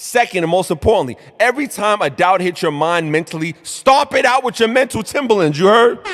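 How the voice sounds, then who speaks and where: A man's high, animated voice in a New York accent, with lively intonation and music in the background. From New York, Brooklyn. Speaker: motivational show host. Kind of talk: motivational talk. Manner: mumbling.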